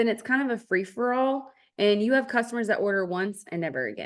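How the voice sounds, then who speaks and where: A woman with a Texas accent talks at a fairly quick pace, her pitch fairly high with ordinary variation. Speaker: network marketing team leader. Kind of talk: online business training. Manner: casual, chatty with fillers.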